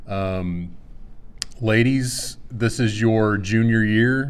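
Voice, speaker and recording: Audible room echo surrounds a man with a Texas accent. He speaks at a very slow pace. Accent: Texas drawl. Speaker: swim coach. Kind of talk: casual chat. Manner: slow, calm drawl.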